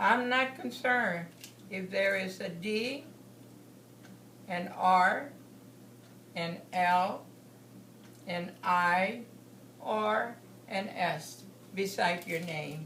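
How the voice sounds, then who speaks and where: Amid noticeable background noise, a woman speaks at a very slow pace with lively intonation and long, frequent pauses. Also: medium pitch for a woman. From Texas, USA. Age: 70s. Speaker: political delegate. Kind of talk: political speech.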